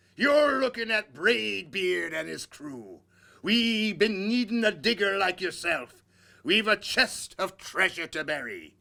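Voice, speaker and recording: In a put-on character voice, a man bellows loudly at a fairly slow pace and a high pitch, on a very clean recording with a silent background. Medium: read story. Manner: loud, bellowing.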